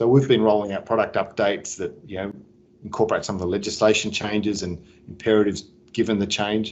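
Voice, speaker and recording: In an Australian accent, a man talks at a very fast pace with a fairly low pitch and a monotone, flat intonation. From Sydney, Australia. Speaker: business executive. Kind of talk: interview.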